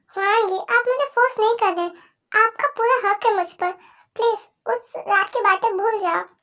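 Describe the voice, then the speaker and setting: The voice is pitched extremely high. It is a put-on character voice. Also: moderate pace. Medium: read story. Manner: emotional, soft.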